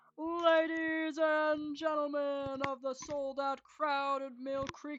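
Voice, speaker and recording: A put-on character voice, high in pitch, delivers its lines very slowly in a flat monotone. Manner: booming.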